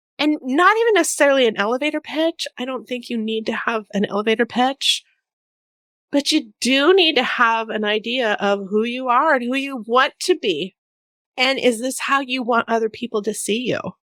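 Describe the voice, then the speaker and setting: Loud speech with a bright, sharp tone and ordinary pitch variation at a moderate pace, dry and close with no echo, in a very clean recording with a silent background. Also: woman, high pitch for a woman. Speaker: podcaster and business coach. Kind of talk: solo podcast monologue. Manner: casual, blunt with frequent swearing.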